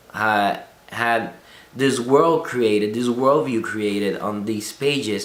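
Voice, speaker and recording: Man with a non-native accent at a very slow pace, medium in pitch with ordinary variation, amid audible room echo and noticeable background noise. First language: not English. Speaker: film student. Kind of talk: video blog reflection. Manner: halting, many restarts.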